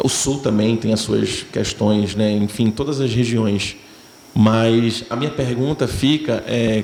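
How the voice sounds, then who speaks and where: Over noticeable background noise, a man with a Pernambuco accent speaks at a very slow pace, with very even loudness and fairly even intonation. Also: medium pitch for a man. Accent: Northeastern Brazilian (Pernambuco). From Pernambuco, Brazilian Northeast. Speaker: actor. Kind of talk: festival Q&A answer.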